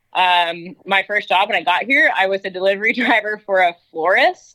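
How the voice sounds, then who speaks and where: In an American accent, a woman with an unremarkable speaking voice talks at a moderate pace with a medium pitch. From North Georgia, US South. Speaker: horse trainer. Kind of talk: casual interview.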